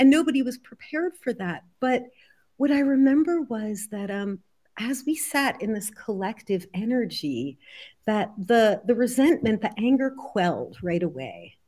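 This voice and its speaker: A woman with an American accent talks at a moderate pace in a dark, mellow tone, her fairly high pitch lively in intonation, on a very clean recording with a silent background. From US Northeast, New Jersey. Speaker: healer and author. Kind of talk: interview.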